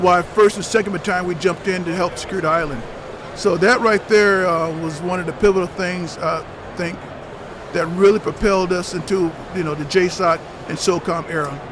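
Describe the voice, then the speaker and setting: A man with a high voice talks at a fairly quick pace and a fairly even intonation over noticeable background noise. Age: 60s. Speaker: retired army ranger. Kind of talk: interview. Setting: trade show floor. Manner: halting, many fillers.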